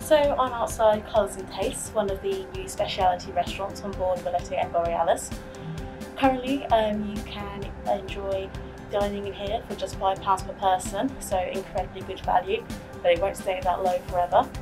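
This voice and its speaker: Clear music plays in the background while the voice moves at a moderate pace with big swings in loudness. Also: woman. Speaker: travel agent guide. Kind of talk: casual vlog chat. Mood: enthusiastic. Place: hall.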